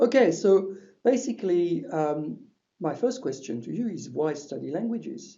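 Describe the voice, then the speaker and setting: A man with a French accent, high pitch, very wide pitch swings and audible room echo. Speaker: university language lecturer. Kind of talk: webinar presentation. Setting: online webinar. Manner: hesitant with many fillers.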